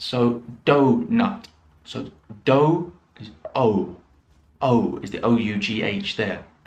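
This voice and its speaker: A man with a British accent speaks with very wide pitch swings. His voice is somewhat breathy. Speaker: English teacher. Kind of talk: pronunciation lesson to camera. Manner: slow, clear.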